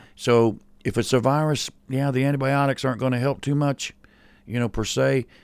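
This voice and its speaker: In an ordinary speaking voice, a man at medium pitch talks at a moderate pace with very even loudness and fairly even intonation, in a very clean recording with a silent background. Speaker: pastor. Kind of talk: casual chat.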